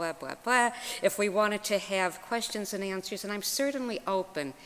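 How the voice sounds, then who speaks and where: Against noticeable background noise, a woman speaks at medium pitch and a moderate pace with ordinary pitch variation. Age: 60s. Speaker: minister and therapist. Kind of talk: lecture.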